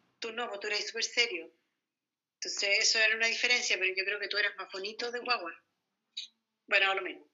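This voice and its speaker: A woman speaks with a Chilean accent at a very fast pace. She leaves long, frequent pauses. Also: medium pitch for a woman, ordinary pitch variation. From Chile, Santiago. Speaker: mother of the host. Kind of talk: family interview.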